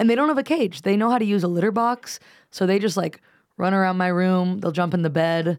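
Here a woman has an ordinary speaking voice and an American accent. She talks at a fairly quick pace and a fairly low pitch. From US. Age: 20s. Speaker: comedian. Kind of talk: casual chat.

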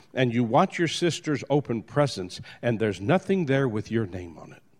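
Spoken at a moderate pace in an American accent, the voice moves through very wide pitch swings. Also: man, quiet background. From New Orleans, US South. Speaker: motivational speaker. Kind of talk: motivational talk.

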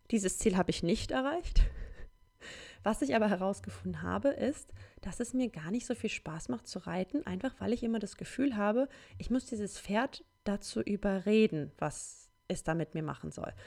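Her voice is a woman's, medium in pitch, dark and mellow with vocal fry and lively intonation, at a moderate pace. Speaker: solo podcaster. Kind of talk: casual monologue.

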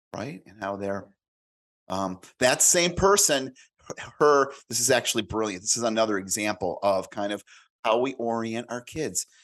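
An ordinary speaking voice: a man at medium pitch and moderate pace, with ordinary pitch variation, big swings in loudness, and a quiet background. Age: 50s. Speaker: career and business coach, author. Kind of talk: casual interview.

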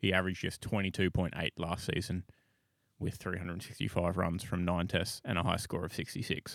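A man with an Australian accent talks at a fairly quick pace in a very deep, low pitch with fairly even intonation. The sound is dry and close with no echo, a very clean recording with a silent background. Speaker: podcast co-host. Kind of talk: casual chat.

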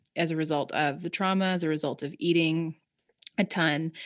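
A woman talks at a moderate pace with fairly even intonation. Hers is a normal speaking voice, fairly low in pitch. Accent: Canadian. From Canada, rural Southern Ontario. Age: 30s. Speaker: mental health advocate and actress. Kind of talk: casual chat. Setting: video call.

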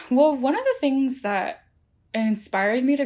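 A woman with an American accent, an ordinary speaking voice, lively intonation and a moderate pace. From New Jersey, US. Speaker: tech journalist. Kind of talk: interview.

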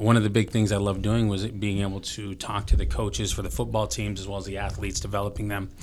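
At a very fast pace, a man with an American accent speaks in a fairly low voice with vocal fry and ordinary pitch variation, with audible room echo. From Filipino heritage, grew up in a small US town. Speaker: gym owner and motivational coach. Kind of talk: casual chat. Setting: studio.

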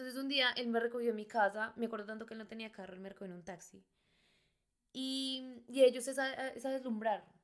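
The pace here is fairly quick, and the pitch varies in an ordinary way. It is a plain, everyday voice. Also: woman. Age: 20s. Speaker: bar hostess. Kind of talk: personal storytelling.

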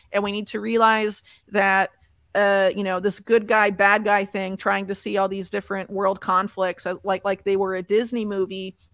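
The speaker has an American accent and a moderate pace, with monotone, flat intonation. The recording is very clean, with a silent background. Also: woman, medium pitch for a woman. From United States. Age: 30s. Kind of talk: interview. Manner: halting, many fillers.

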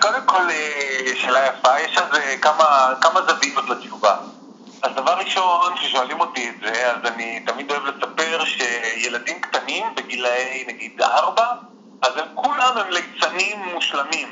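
Very wide pitch swings mark this speech, with noticeable background noise behind it. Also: man, fairly high pitch for a man, fairly slow pace. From Israel. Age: 40s. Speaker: circus and street artist. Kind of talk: casual interview. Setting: phone call.

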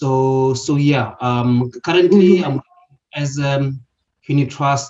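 Somewhat breathy, a man's voice rests at a medium pitch. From South Africa, Limpopo. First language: a South African language other than English. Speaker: property investor. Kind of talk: interview. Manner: halting, many fillers and repetitions.

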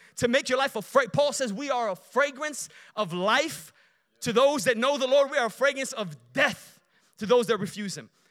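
A man's raised, projected voice at an extremely high pitch, bright and sharp in tone, moderate in pace, in a Chicago accent, over a very clean, silent background. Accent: Chicago American. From Chicago, Illinois (Romanian family). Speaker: guest preacher. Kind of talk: sermon. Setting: church.

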